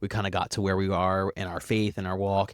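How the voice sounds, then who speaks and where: A man with an American accent speaks fairly quickly at a fairly low pitch in an ordinary speaking voice. The sound is dry and close with no echo, on a very clean recording with a silent background. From Baltimore, Maryland, US. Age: 30s. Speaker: podcast guest sharing faith story. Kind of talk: testimony in casual interview.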